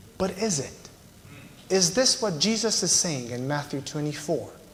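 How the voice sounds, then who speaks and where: A man with a Romanian accent speaks at a fairly slow pace in a fairly high pitch, his voice swinging very widely, with audible room echo and noticeable background noise. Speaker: visiting preacher. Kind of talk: sermon.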